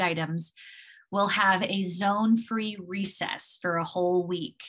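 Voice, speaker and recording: A woman talks against a quiet background. Her intonation stays fairly even. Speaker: presenter. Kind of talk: presentation to parents. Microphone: video call.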